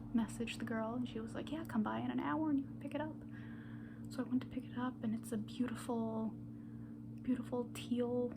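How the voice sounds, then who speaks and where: Whispering and soft-spoken, the speaker goes at a fairly quick pace over noticeable background noise. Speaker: pastry chef. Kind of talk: ASMR rambling. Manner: soft-spoken, whispered; casual, rambling.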